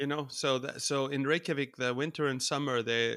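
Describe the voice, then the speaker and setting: A man with an Icelandic accent and a bright, sharp tone speaks at a fairly quick pace with fairly even intonation, in a very clean recording with a silent background and a dry, close sound with no echo. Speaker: folk musician. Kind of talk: interview.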